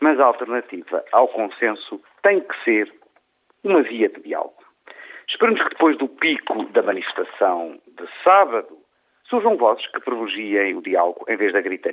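A man with a European Portuguese accent, at a moderate pace. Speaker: radio commentator. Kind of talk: opinion commentary. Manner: formal.

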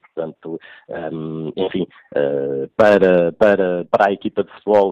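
A man at a fairly slow pace with fairly even intonation. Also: dry, close sound with no echo. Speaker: football club commentator. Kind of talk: radio interview analysis. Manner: halting, many hesitations and repeats.

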